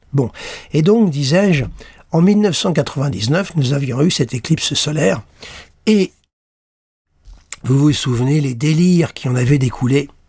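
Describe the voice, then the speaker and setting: A somewhat breathy man talks at a moderate pace, with long, frequent pauses. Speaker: astrologer. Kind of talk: talk to camera, astrology analysis. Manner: halting, with fillers.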